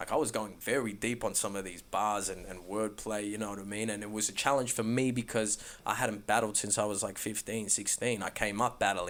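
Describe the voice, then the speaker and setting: The speaker has an Australian accent and moves at a fairly quick pace. There are hardly any pauses. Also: man, fairly low pitch for a man. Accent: Australian natural accent when talking. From Melbourne, Australia. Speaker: rapper. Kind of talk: casual interview chat. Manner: animated.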